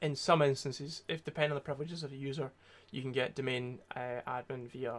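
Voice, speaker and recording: A man speaks at a medium pitch with a Scottish accent. His intonation stays fairly even. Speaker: security researcher streamer. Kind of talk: tutorial livestream. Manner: casual, hesitant with many fillers.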